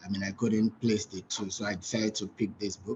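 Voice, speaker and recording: A man speaks at a fairly low pitch. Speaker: pastor and book reviewer. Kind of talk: book review talk. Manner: soft-spoken; halting, repeats words.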